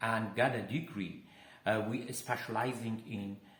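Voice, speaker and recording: A man talks at a medium pitch and a fairly slow pace. Audible room echo fills the recording. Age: 60s. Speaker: health coach. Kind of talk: personal testimony and health talk. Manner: halting, many fillers.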